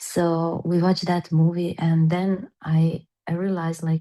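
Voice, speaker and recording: In a Serbian accent, a woman speaks at a very slow pace with a fairly low pitch, a dark, mellow tone and monotone, flat intonation. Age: 40s. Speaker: personal-development coach. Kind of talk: interview. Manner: halting.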